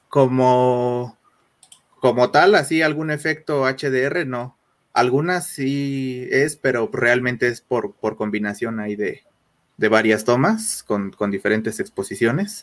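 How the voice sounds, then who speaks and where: A man speaks at a very slow pace with a medium pitch. His intonation is lively. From Mexico City. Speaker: photographer. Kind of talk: interview. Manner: halting.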